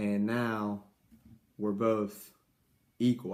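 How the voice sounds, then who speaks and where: This man's voice has a fairly low pitch and a dark, mellow tone. His intonation stays monotone and flat. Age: 20s. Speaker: YouTuber giving life advice. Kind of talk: casual vlog advice talk. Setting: at home. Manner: halting, many fillers.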